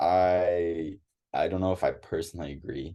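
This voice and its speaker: A man with an American accent talks at a fairly slow pace against a quiet background. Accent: American accent when speaking French. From United States. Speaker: interviewee, first-generation American. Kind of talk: casual interview. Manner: halting, many fillers and repetitions.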